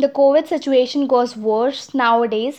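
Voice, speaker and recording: A fairly slow delivery in an Indian accent. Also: woman. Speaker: podcast host. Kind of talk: solo podcast monologue. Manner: halting.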